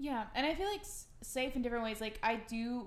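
Here is a woman with an ordinary speaking voice. She talks at a moderate pace with fairly even intonation. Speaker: podcast co-host. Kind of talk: casual chat.

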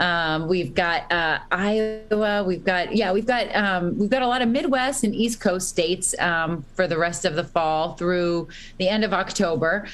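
An unremarkable speaking voice from a woman with an American accent, medium in pitch, at a fairly slow pace with hardly any pauses and very even loudness. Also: ordinary pitch variation. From Boston, Massachusetts. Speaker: rock guitarist. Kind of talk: casual interview.

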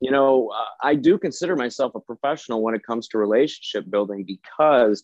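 A man with a normal speaking voice, pitched in the middle of his range, talks at an even, moderate speed with typical rise and fall, and the recording is dry and close, free of any echo. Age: 40s. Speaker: business professional. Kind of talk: interview.

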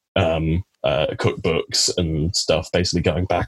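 A somewhat breathy man speaks with fairly even intonation. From Cornwall, England. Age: 20s. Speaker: biology graduate. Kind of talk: casual chat. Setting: video call.

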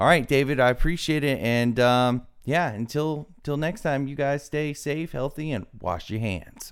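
A man with a plain, everyday voice, fairly high in pitch, with an American accent, at a fairly slow pace and hardly any pauses. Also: ordinary pitch variation. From US South. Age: 20s. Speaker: podcast host. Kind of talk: interview.

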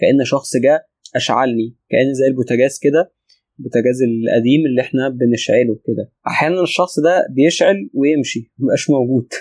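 Keeping a very even loudness, a man talks at a moderate pace in a medium pitch with ordinary pitch variation. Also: dry, close sound with no echo. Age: 30s. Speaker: spiritual teacher. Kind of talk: interview. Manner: calm; pauses often.

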